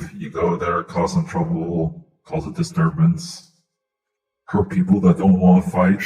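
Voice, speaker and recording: A put-on character voice at a moderate pace. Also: man, fairly high pitch for a man. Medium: game stream.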